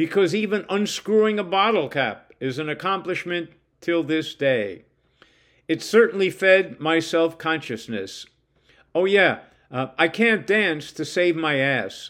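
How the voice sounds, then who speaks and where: In a very clean recording with a silent background, a man with a high voice speaks fairly slowly with lively intonation. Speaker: writer reading his own stories. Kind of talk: reading aloud. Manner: conversational.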